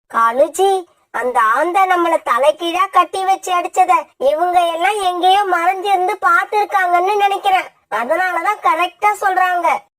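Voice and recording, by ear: This cartoonish character voice sounds female, pitched extremely high, and moves at a fairly slow pace.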